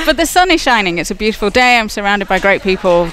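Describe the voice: A cheerful, upbeat tone at a very fast pace, with music in the background.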